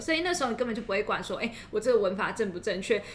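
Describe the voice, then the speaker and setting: Against noticeable background noise, a woman speaks at a fairly high pitch. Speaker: podcast co-host. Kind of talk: casual chat.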